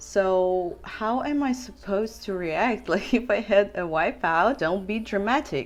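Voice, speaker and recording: With music playing in the background, a woman speaks in a Russian accent at a fairly slow pace. Her medium-pitched voice swings very widely in pitch. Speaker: big wave surfer. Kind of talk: casual talk to camera.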